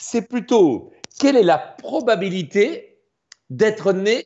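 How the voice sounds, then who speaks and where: With a Belgian accent, a man speaks at a high pitch in an animated tone, his pitch swinging very widely. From Belgium. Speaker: math popularizer and performer. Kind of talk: explanatory lecture in a live stream.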